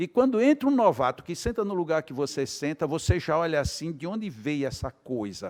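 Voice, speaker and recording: A man speaks with a Brazilian accent at a moderate pace and with lively intonation. The recording is very clean with a silent background, and the sound is dry and close with no echo. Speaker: spiritist lecturer. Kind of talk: lecture. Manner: animated.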